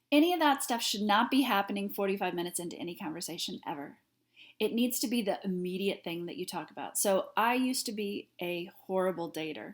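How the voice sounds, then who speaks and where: At a very fast pace, a woman with a medium pitch speaks in an animated tone with lively intonation. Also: very clean recording, silent background. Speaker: sales coach. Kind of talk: tutorial.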